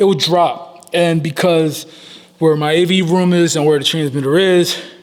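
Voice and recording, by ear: Fairly even intonation and a fairly high pitch mark this man's speech, delivered at a moderate pace.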